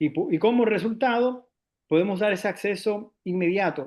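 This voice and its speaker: Ordinary pitch variation from a man speaking at a fairly slow pace. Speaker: investment firm representative. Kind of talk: panel discussion. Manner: halting, many fillers.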